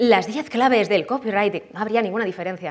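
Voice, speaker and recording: Speaking at a fairly quick pace, a woman sounds animated, with ordinary pitch variation against a quiet background. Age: 30s. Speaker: copywriting expert and conference speaker; conference speaker. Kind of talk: conference talk. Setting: stage with audience. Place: hall.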